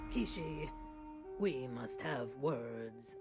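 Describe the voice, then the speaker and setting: Someone does a put-on character voice with clear music playing in the background. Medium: game stream.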